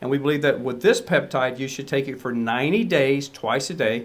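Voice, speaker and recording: An unremarkable speaking voice, a man's at a fairly high pitch, moves at a fairly quick pace with ordinary pitch variation. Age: 60s. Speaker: supplement formulator. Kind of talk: product explainer. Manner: casual, with fillers.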